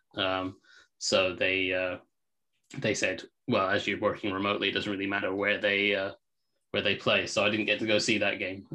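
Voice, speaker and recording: Monotone, flat intonation in a bright, sharp tone, with long, frequent pauses over a quiet background. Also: man, fairly low pitch for a man, moderate pace. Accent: English. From England. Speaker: football film analyst. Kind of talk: casual sports analysis chat.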